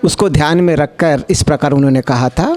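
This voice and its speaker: A man speaks in a Telangana accent over noticeable background noise. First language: Telugu (speaking Hindi). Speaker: conference speaker on languages. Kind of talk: conference talk. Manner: formal, with hesitations.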